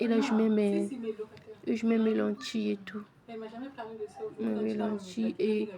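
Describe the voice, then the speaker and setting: Noticeable background noise sits behind a woman's voice. She speaks at a very slow pace with a fairly high pitch. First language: Lingala and Kituba (speaking French). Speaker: home cooking vlogger. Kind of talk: cooking tutorial. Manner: halting, repetitive.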